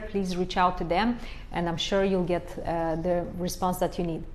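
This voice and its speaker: The speaker talks at a moderate pace. The voice carries a Romanian accent. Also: woman. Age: 40s. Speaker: life coach. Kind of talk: live stream Q&A. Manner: halting, many fillers.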